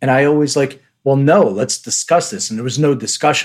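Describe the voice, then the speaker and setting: Here a man speaks at a fairly high pitch with a Philadelphia accent. His pace is moderate. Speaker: podcast host. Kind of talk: casual interview.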